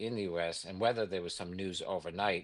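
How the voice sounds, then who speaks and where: Against a quiet background, someone with a New York accent talks at a fairly quick pace with fairly even intonation. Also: man. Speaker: investment executive. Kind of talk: interview.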